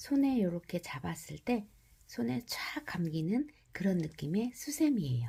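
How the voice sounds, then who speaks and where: Somewhat breathy, a woman speaks at a fairly slow pace in a dark, mellow tone. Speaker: crochet instructor. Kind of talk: crochet tutorial narration. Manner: subdued, low-energy; slow, step-by-step.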